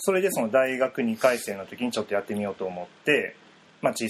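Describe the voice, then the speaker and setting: This man uses an ordinary speaking voice and moves along fairly quickly. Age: 20s. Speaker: painter. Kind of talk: interview.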